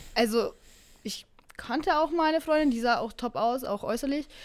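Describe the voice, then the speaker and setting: A woman speaks with lively intonation. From Bavaria. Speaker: fitness podcast co-host. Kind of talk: casual chat.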